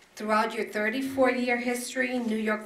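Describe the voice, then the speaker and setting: With audible room echo, a woman speaks at a moderate pace. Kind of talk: prepared ceremonial speech. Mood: proud, formal. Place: meeting room.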